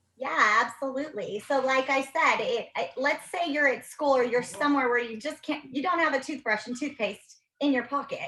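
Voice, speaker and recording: A woman's high-pitched, raised and projected voice with a bright, sharp tone, ordinary pitch variation and hardly any pauses. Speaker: dental health presenter. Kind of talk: presentation with Q&A. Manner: fast.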